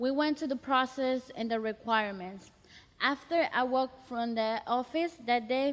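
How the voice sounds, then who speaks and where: Someone with a Spanish accent talks at a moderate pace with ordinary pitch variation. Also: woman, high pitch for a woman. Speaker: college student, youth program participant. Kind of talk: personal storytelling testimony. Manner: halting.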